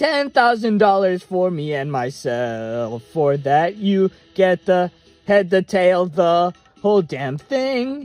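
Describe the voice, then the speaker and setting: A man puts on a character voice with high pitch, speaking at a fairly slow pace. Faint music plays in the background. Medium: read story. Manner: blunt, gruff.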